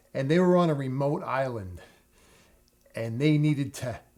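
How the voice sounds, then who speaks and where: In a very clean recording with a silent background, a man with a New York accent speaks at a medium pitch with ordinary pitch variation. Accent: New York area American. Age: 60s. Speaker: plumber, tutorial channel host.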